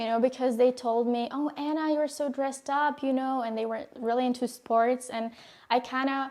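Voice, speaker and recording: On a very clean recording with a silent background, a woman with a high pitch speaks at a moderate pace in a monotone, flat intonation. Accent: Czech. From Czech Republic. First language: Czech. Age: young. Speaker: former exchange student. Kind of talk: interview. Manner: halting.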